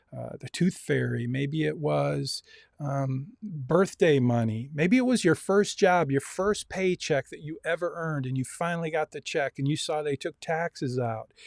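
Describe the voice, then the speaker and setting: A plain, everyday voice moves at a moderate pace with hardly any pauses and ordinary pitch variation. The sound is dry and close, with no echo. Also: man, fairly high pitch for a man. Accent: American. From US Midwest, Lansing Michigan. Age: 60s. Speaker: university instructor. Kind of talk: online lecture. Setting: video call.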